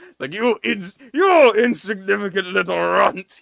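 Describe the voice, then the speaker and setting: His pitch is high for a man in this put-on character voice. The speed stays moderate. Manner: scowling, insulting.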